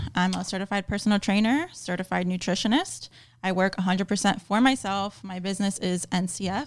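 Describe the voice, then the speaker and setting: In an American accent, a woman uses an ordinary speaking voice at medium pitch, with ordinary pitch variation and a fairly quick pace, on a very clean recording with a silent background. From Miami, Florida. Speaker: personal trainer and nutritionist. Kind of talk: casual chat.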